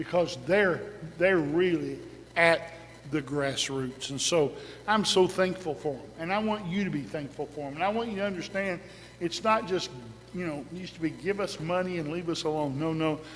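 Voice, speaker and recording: A high-pitched man at a moderate pace, with audible room echo. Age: 60s. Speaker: pastor. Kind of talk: sermon.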